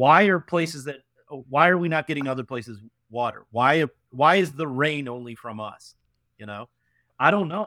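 On a very clean recording with a silent background and a dry, close sound with no echo, a man with a Western New York accent speaks at a moderate pace with lively intonation, a bright, sharp tone, big swings in loudness, and long, frequent pauses. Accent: Western New York (Inland North) American. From upstate New York (Canandaigua, near Rochester). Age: 30s. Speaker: venture capitalist. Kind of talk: casual interview.

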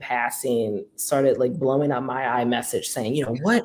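A man with a New Orleans accent, fairly high pitch, and moderate pace. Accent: New Orleans Southern US. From US South, New Orleans. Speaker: activist. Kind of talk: interview.

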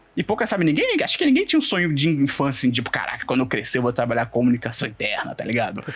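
A man at a very fast pace with hardly any pauses, amid noticeable background noise. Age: 20s. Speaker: internal communications professional and podcaster. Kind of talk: casual interview chat.

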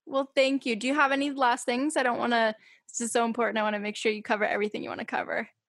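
A woman with an American accent talks at a very fast pace. Her pitch is high and her intonation fairly even. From Massachusetts, US. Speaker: podcast host. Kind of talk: casual chat. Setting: remote call.

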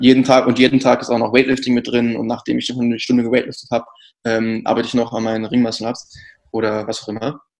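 A man speaks at a medium pitch and a very fast pace. His intonation is monotone and flat. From North Rhine-Westphalia, Ruhr area (Kamen near Dortmund). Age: 20s. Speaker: CrossFit athlete and brand communications manager. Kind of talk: casual interview.

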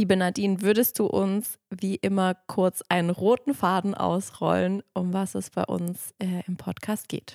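A woman talks in a normal speaking voice at a fairly slow pace, with fairly even intonation. The recording is very clean, with a silent background. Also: medium pitch for a woman, hardly any pauses, dry, close sound with no echo. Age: 30s. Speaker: yoga teacher and podcast co-host. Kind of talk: casual podcast introduction.

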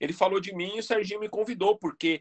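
Delivered at a fairly quick pace, the speech has a dry, close sound with no echo. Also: man. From Brazil, São Paulo (East Zone). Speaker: professional body piercer. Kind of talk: casual interview chat.

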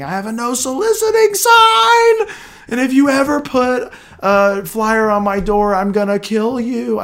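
Shouting in a raised, projected voice, the speaker uses a put-on character voice at a fairly high pitch and a moderate pace, with light background noise. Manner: screaming.

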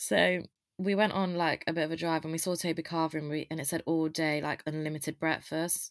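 In an English Midlands accent, a woman with a very deep, low pitch talks fairly quickly in a flat monotone, the sound dry and close with no echo on a very clean recording with a silent background. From English East Midlands (Loughborough). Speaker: university student. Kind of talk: casual chat.

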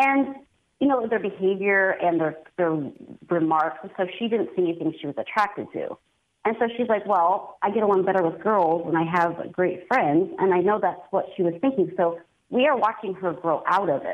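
This woman has a plain, everyday voice at a medium pitch with ordinary pitch variation. Her pace is moderate. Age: 30s. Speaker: caller, mother. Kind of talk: radio call-in. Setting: phone call.

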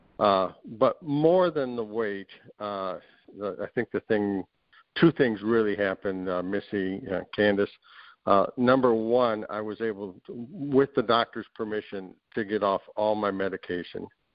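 His is a normal speaking voice, a man at a fairly low pitch with ordinary pitch variation. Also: fairly slow pace. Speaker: program participant sharing his success story. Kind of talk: casual interview. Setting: video call.

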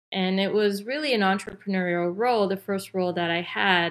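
This woman has an unremarkable speaking voice at a medium pitch. Her pace is moderate and her intonation fairly even. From Canada. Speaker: business development expert. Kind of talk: interview.

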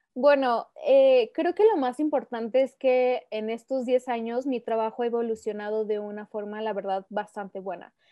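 A woman's ordinary speaking voice, fairly high in pitch with ordinary variation, at a moderate pace with hardly any pauses. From Mexico, Aguascalientes. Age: 20s. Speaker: photographer. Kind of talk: casual interview.

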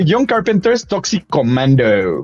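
Speaking very slowly with a Mexican accent, a man swings his pitch very widely over noticeable background noise. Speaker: video game show host. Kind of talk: casual chat. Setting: remote video call.

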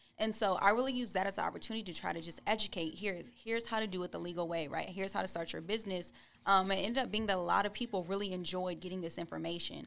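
Rushing at a very fast pace with hardly any pauses, the speaker uses an American accent, shows vocal fry and has ordinary pitch variation. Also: woman, medium pitch for a woman. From California. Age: 20s. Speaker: attorney. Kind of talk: casual interview.

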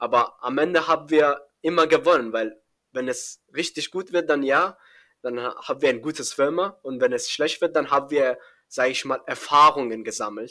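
On a very clean recording with a silent background, a man with fairly high pitch and a bright, sharp tone talks at a moderate pace with ordinary pitch variation. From Iran, Afghan family. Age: young. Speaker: young programmer and startup founder. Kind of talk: podcast interview. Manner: hesitant, many fillers.

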